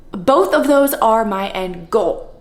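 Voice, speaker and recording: Amid noticeable background noise and audible room echo, a woman with an American accent lets her pitch swing very widely. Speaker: real estate agent. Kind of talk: Q&A vlog, reading typed answers.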